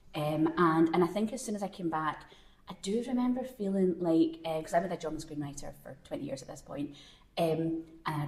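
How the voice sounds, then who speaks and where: Audible room echo accompanies speech delivered at a fairly quick pace. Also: woman. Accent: strong Glasgow. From Scotland, Glasgow. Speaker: screenwriter. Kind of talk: live panel conversation. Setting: stage with audience at a film festival.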